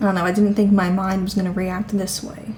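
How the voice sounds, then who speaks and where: A woman talks at a medium pitch. Noticeable background noise can be heard. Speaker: vlogger. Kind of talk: casual vlog monologue. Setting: at home.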